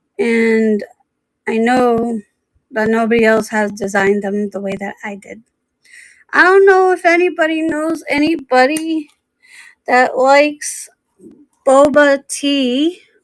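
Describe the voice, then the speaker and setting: Speaking loud and very slowly, a woman leaves long, frequent pauses. Her high voice carries lively intonation. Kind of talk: live stream sales pitch. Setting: live stream.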